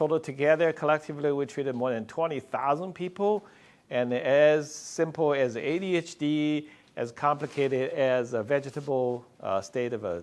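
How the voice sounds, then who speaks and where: The setting behind him is quiet. A man speaks at a moderate pace. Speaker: physician researcher. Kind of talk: conference talk. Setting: stage with audience.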